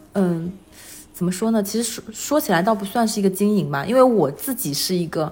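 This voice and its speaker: Somewhat breathy and at a fairly quick pace, a woman of medium pitch talks with lively intonation. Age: 30s. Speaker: full-time mother and illustrator. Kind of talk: casual interview.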